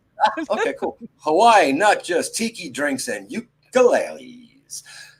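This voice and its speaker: A man speaks at a fairly slow pace. He has a New York accent. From New York City. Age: 60s. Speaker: podcast host. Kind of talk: casual chat. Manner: animated.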